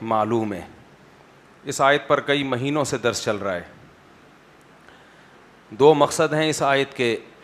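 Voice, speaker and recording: This man has a normal speaking voice at a medium pitch with ordinary pitch variation. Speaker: Islamic scholar giving a sermon. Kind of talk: Islamic sermon (bayan) delivered to a live audience. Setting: lecture hall with microphone. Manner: conversational, rhetorical questions to audience.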